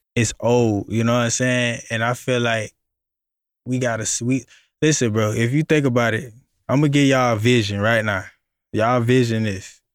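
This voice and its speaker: A man with an American accent speaks at a medium pitch and a moderate pace, with fairly even intonation and long, frequent pauses. The recording is very clean, with a silent background. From Florida, Miami. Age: 30s. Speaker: music producer. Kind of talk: casual chat.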